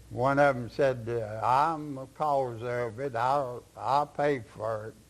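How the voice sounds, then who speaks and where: In a Kentucky accent, a man talks at a medium pitch with fairly even intonation. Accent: Southern US (Kentucky). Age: 90s. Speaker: retired county sheriff. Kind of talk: interview answer, storytelling.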